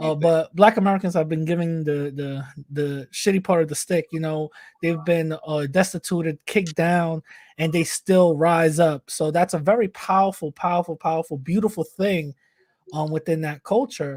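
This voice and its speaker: On a very clean recording with a silent background and a dry, close sound with no echo, a man with a high pitch speaks at a moderate pace with fairly even intonation. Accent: New York. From New York, the Bronx. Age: 30s. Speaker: activist. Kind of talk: interview. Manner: halting.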